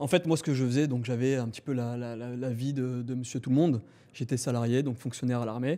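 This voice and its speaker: At a very fast pace, a man with a dark, mellow tone speaks with fairly even intonation in a very clean recording with a silent background. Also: medium pitch for a man. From southern France, Montpellier. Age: 20s. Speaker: trader and entrepreneur. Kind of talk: podcast interview.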